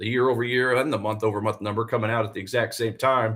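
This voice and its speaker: In a Southern US accent, a man speaks at a fairly quick pace with a bright, sharp tone. The recording is very clean, with a silent background. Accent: Southern twang. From US South, Tennessee. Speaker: forex trader and live streamer. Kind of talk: live trading stream commentary. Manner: casual, conversational.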